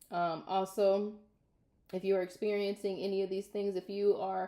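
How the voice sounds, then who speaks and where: At a fairly slow pace, a woman speaks at a medium pitch with a dark, mellow tone and monotone, flat intonation. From US Midwest, Minnesota. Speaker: vlogger. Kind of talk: casual vlog monologue. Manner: loud.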